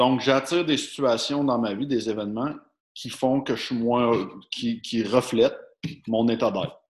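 With a Quebec accent, a man speaks at a medium pitch with ordinary pitch variation. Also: fairly slow pace. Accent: Québécois French. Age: 30s. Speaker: podcast host. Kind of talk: casual chat.

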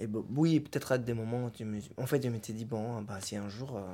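A man talks at a moderate pace with a medium pitch and ordinary pitch variation. His tone is dark and mellow, and the recording is very clean with a silent background. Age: 30s. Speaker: father. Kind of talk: interview testimony. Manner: halting.

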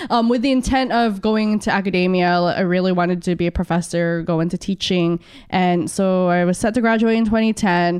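A woman speaks in a plain, everyday voice with medium pitch, ordinary pitch variation and very even loudness, at a fairly quick pace with hardly any pauses against a quiet background. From San Diego, California (born in Philippines). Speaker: union organizer. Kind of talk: podcast interview.

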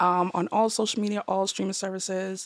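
A woman with an American accent speaks at a medium pitch in a dry, close sound with no echo. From Boston. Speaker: hip hop artist and songwriter. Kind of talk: casual chat.

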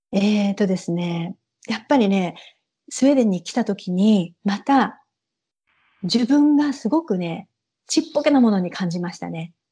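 A woman talks at a medium pitch with lively intonation and a dark, mellow tone. Her voice is somewhat breathy against a quiet background. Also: moderate pace. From Japan, Saitama (Ogawa). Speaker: Japanese expatriate in Sweden. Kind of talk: casual interview.

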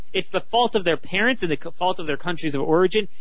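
An American accent comes through audible room echo. Noticeable background noise sits behind it. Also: man. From Baltimore, US. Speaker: political commentator, writer. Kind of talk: casual radio interview.

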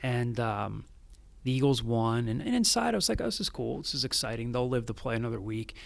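An American-accented man with an unremarkable speaking voice, medium pitch, ordinary pitch variation and a fairly quick pace. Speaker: student media director and journalist. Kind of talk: interview.

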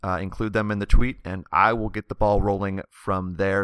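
A man speaks at a moderate pace in a bright, sharp tone, on a very clean recording with a silent background. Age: 20s. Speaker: podcast host. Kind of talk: casual interview; show intro.

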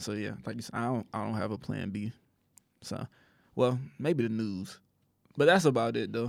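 A man with an American accent speaks at a moderate pace and a medium pitch, using ordinary pitch variation and long, frequent pauses. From Rockford, Illinois. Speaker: podcast host. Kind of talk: casual interview chat. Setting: studio.

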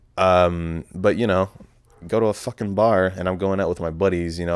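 This man has a very deep, low pitch. He speaks with an American accent. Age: 20s. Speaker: podcast host. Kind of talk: casual solo podcast monologue. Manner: casual, profane, rambling; self-deprecating, joking.

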